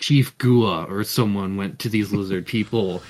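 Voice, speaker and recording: With a normal speaking voice, a man talks fairly slowly and fairly low with ordinary pitch variation in a very clean recording with a silent background. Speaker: podcast co-host, tabletop game player. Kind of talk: casual chat.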